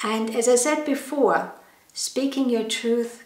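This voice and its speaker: At a very slow pace, a woman with a non-native accent speaks with ordinary pitch variation amid audible room echo. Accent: noticeable foreign. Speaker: holistic health educator. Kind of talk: educational talk. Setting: wellness studio.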